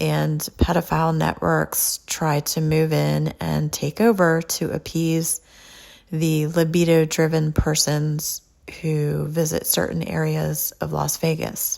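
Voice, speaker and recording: A woman in a Californian accent at a very slow pace, on a very clean recording with a silent background. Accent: Californian with a twang. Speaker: podcast host and author. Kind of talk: podcast monologue. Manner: laid-back.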